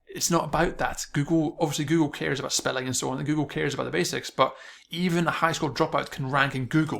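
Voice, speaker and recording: Mumbling at a very fast pace, a man uses a fairly high pitch and fairly even intonation. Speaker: online marketing coach. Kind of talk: video tutorial monologue. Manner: mumbling, stuttering.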